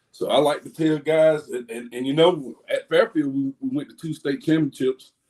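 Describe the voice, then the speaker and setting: Speaking in an Alabama accent at a moderate pace, a man has a fairly high pitch, a dark, mellow tone and ordinary pitch variation. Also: dry, close sound with no echo. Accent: US Southern (Alabama). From Alabama, near Dothan. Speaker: high school football coach. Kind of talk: podcast interview. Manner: loud; halting, many fillers.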